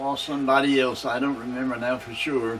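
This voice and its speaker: Over noticeable background noise, a man with a fairly high pitch talks in an American accent. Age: 80s+. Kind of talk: interview answer. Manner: reminiscing, rambling.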